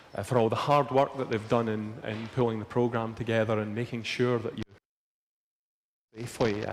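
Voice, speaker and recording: In a Scottish accent, a man speaks at a medium pitch with monotone, flat intonation and long, frequent pauses. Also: fairly quick pace. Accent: Scottish, largely unchanged. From Scotland, near Glasgow. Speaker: crystallography lecturer. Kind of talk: lecture.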